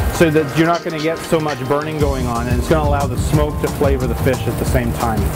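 Clear background music behind a man speaking. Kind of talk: cooking tutorial. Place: kitchen. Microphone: lapel.

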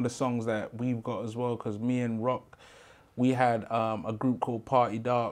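Speaking at a fairly slow pace in a London accent, the voice stays monotone with flat intonation. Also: man. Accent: London Multicultural English. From London, Brixton. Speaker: rapper in a pop group; podcast guest. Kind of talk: interview. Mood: relaxed, reflective. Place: studio.

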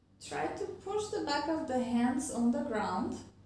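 A woman at a high pitch and a fairly slow pace, with audible room echo and light background noise. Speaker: fitness instructor. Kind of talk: tutorial. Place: home room.

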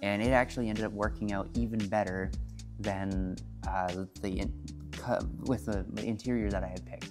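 With clear music in the background, a man speaks at a fairly low pitch and a moderate pace. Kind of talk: casual vlog chat. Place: garage.

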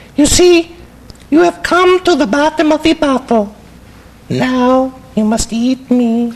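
With long, frequent pauses, a cartoonish character voice that sounds female speaks at a high pitch and a fairly slow pace. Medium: puppet show. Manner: mock-solemn, then bored.

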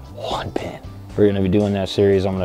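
Faint background music sits under a man's very deep, low voice in a dry recording with no echo. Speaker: vlogger testing a mic. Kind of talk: casual vlog chat. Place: waterside. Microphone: lapel.

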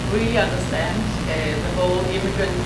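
Loud background noise and audible room echo accompany a woman speaking at a moderate pace. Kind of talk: lecture. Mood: warm, cheerful. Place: hall.

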